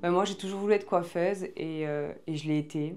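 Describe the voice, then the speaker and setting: A woman with a southwestern French accent talks at a fairly quick pace, with a medium pitch and fairly even intonation. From southwestern France, Marmande. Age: 20s. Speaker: podcast host and former hairdresser. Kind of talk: casual Q&A interview. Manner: casual, many filler hesitations.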